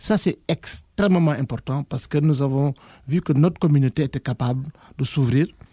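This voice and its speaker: A man speaks at a moderate pace in a fairly high pitch, with ordinary pitch variation and a somewhat breathy, dark, mellow tone. The sound is dry and close with no echo, on a very clean recording with a silent background. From Senegal. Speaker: university professor, former association president. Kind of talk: interview.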